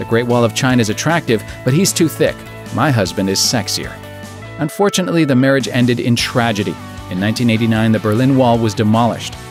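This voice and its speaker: Music plays in the background as a medium-pitched man rushes along at a very fast pace with ordinary pitch variation. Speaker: voice actor. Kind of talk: comedic list-video narration.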